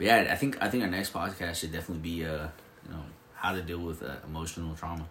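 A man's very deep, low voice at a very fast pace, with ordinary pitch variation and audible room echo. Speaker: podcast host. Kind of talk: casual chat.

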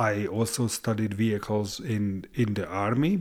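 A man with a Hungarian accent on a very clean recording with a silent background. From Hungary. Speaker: tile tradesman. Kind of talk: casual chat. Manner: halting.

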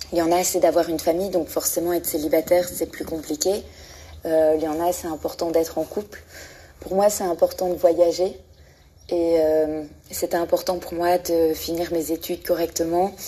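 This woman has a fairly low pitch and a dark, mellow tone. She talks at a moderate pace with monotone, flat intonation. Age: 20s. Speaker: listener sharing her experience. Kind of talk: recorded voice message monologue. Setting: voice message.

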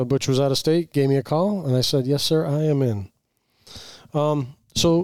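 A man with a dark, mellow tone speaks at a moderate pace with ordinary pitch variation. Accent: American. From Michigan, US. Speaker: podcast co-host, bourbon reviewer. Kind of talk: casual chat, tasting review. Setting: home basement.

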